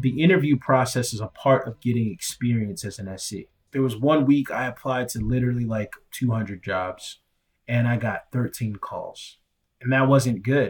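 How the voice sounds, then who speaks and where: Somewhat breathy and medium in pitch, a man speaks with ordinary pitch variation in a very clean recording with a silent background. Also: moderate pace. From Nigeria. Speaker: solutions engineer. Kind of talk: interview testimony.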